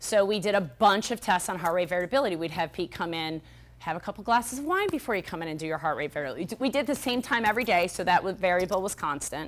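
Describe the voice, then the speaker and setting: A woman's very fast, animated speech at a medium pitch, with lively intonation and hardly any pauses. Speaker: health practitioner and speaker. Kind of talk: conference talk.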